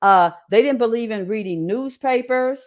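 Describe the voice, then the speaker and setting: The speaker talks at a moderate pace in a Southern accent. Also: woman. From Indianapolis, Indiana, US Midwest. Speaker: creative writer and media specialist. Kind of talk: interview testimony. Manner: halting, with many repeats and restarts.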